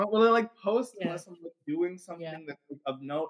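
With an American accent, a man speaks in a high pitch and lively intonation. The sound is dry and close, with no echo. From Long Island, New York. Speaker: occult community founder. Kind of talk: casual chat.

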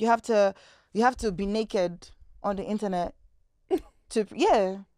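A woman with a Nigerian accent speaks at a medium pitch on a very clean recording with a silent background. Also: dry, close sound with no echo. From Nigeria (Lagos). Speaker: content creator. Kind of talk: casual chat. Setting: studio.

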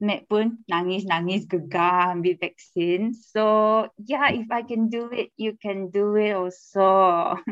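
A woman with a Malaysian accent talks at a medium pitch and a very slow pace. Her intonation is fairly even, and she hardly pauses. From Kuching, Sarawak, Malaysia. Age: 20s. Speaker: guest. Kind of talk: casual interview chat.

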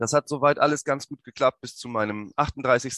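The background is quiet and the sound dry and close with no echo. A man talks with ordinary pitch variation. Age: 30s. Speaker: podcast host. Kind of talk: personal monologue.

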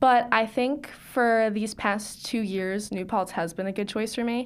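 With an American accent and an unremarkable speaking voice, a woman speaks at a moderate pace in a fairly high pitch with fairly even intonation, in a very clean recording with a silent background. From Long Island, New York. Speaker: college student. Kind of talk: interview answers.

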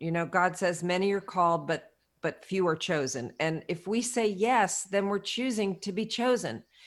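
An unremarkable speaking voice at a moderate pace, with lively intonation. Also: woman, very clean recording, silent background. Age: 60s. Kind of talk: interview.

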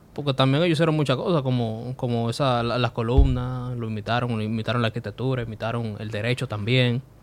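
Noticeable background noise sits under a man talking at a medium pitch with fairly even intonation. He goes very fast, with hardly any pauses. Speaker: podcast host and comedian. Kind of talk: casual chat.

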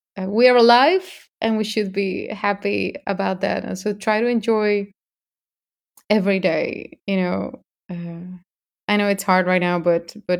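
Speaking at a fairly slow pace with a Spanish accent, a woman keeps her intonation fairly even. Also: medium pitch for a woman. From Mexico. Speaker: singer. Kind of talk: interview.

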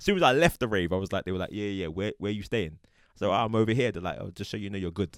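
This man speaks at a very fast pace with hardly any pauses, a fairly low pitch, ordinary pitch variation and big swings in loudness, in a dry, close sound with no echo on a very clean recording with a silent background. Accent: London. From South London. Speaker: podcast host. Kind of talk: casual chat. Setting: studio.

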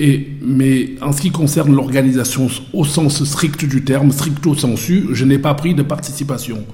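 Fairly even intonation at a fairly slow pace, with audible room echo and noticeable background noise. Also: man, fairly high pitch for a man. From Cameroon. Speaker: sports lawyer. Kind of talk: interview.

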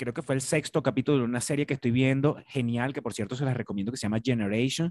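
In a dry, close sound with no echo and a quiet background, a man of medium pitch talks at a very fast pace in an animated tone. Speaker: podcast host. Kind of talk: casual chat.

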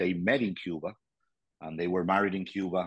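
A man with a very deep, low pitch speaks with a Venezuelan accent. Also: quiet background. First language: Spanish. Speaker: politician in exile, former mayor. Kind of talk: interview, personal storytelling. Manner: halting, searches for words.

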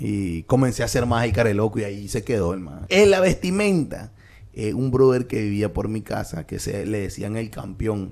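Speaking with a Nicaraguan accent, a man uses a fairly low pitch. His intonation is lively and his pace moderate. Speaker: comedian. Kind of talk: casual chat.

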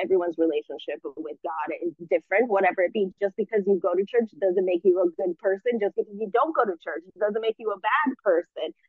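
In an ordinary speaking voice, a woman talks at a medium pitch and a fairly quick pace with lively intonation. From US, immigrant family. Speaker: spiritual coach and entrepreneur. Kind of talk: interview conversation.

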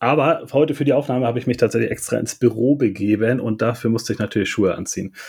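Speaking at a very fast pace with hardly any pauses, a man holds a medium pitch with ordinary pitch variation. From northern Germany, south of Hamburg. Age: 40s. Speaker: clothing shop owner. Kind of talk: casual chat.

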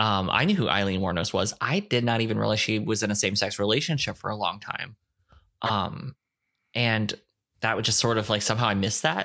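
A man's fairly low, bright and sharp voice with an American accent, ordinary pitch variation and a fairly quick pace, on a very clean recording with a silent background. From Ohio, US. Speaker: podcast co-host. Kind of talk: casual chat. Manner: animated, jokey.

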